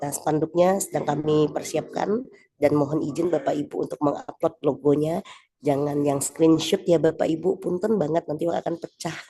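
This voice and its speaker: A woman speaks at a moderate pace with a very deep, low pitch. Her pitch varies in an ordinary way. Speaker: event organizer. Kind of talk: meeting announcement. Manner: soft-spoken; halting.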